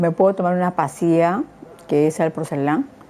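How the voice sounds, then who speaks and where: Fairly low pitch and ordinary pitch variation in a woman's voice. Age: 60s. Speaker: patient with insomnia. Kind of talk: testimony. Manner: halting.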